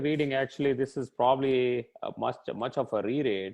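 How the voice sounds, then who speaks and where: A man with an Indian accent at a moderate pace. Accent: Indian English (Telugu). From India, Telugu-speaking region. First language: Telugu. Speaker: tech executive. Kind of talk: interview.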